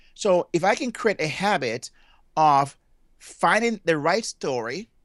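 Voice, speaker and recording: A man speaks with a Jamaican accent and very wide pitch swings. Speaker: motivational speaker and family therapist. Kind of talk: interview. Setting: remote call.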